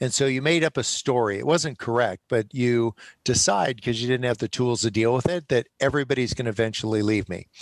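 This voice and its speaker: A man talks at a fairly quick pace with hardly any pauses, at a medium pitch with ordinary pitch variation. The recording is very clean, with a silent background and a dry, close sound with no echo. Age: 60s. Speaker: author and nonprofit founder. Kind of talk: podcast interview. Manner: animated.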